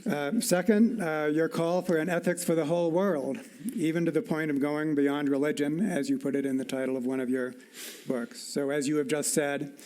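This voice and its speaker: A man with a normal speaking voice speaks at a fairly high pitch. His intonation is lively and his pace moderate. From US. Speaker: evolutionary scientist. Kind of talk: formal dialogue.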